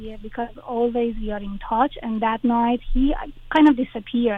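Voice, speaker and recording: Fairly slow, fairly even speech with a Persian accent. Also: woman. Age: 40s. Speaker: caller. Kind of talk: personal advice call. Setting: phone call.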